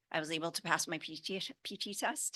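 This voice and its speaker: A woman speaks with a fairly low pitch and a bright, sharp tone. The background is quiet. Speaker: psychologist and panel speaker. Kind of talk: conference panel talk. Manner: halting, with self-corrections after stroke.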